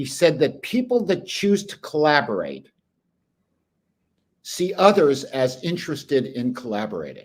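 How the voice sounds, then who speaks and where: With vocal fry and a fairly high pitch, a man speaks in very wide pitch swings, leaving long, frequent pauses. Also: moderate pace, big swings in loudness. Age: 70s. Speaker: business consultant and journalist. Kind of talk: interview.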